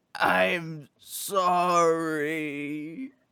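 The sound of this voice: A cartoonish character voice at a very slow pace, bright and sharp yet clear and smooth in tone, with vocal fry and fairly even intonation.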